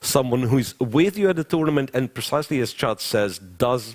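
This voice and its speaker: With a Russian accent, a man speaks at a moderate pace in a very clean recording with a silent background and a dry, close sound with no echo. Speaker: chess commentator. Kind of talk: live commentary, answering chat questions. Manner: hesitant, with frequent repetitions.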